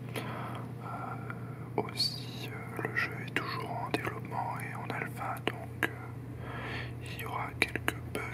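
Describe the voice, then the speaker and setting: A man whispers at a very slow pace. Noticeable background noise can be heard. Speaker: ASMR and gaming video creator. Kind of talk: casual gameplay commentary to camera. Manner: calm, soft-spoken.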